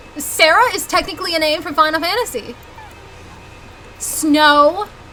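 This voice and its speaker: A woman with a Southern US accent talks in an animated tone, her voice raised and projected at an extremely high pitch with ordinary pitch variation. She keeps a moderate pace over noticeable background noise. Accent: Southern US accent, noticeable on some words. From US South. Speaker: video game streamer. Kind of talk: live gameplay stream chat.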